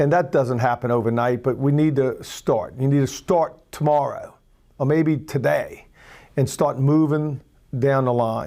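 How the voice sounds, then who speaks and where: A man with a fairly high pitch and a dark, mellow tone, fairly slow pace and very even loudness, on a very clean recording with a silent background. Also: fairly even intonation. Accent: Louisiana. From Louisiana. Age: 60s. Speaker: political candidate. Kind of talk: campaign speech.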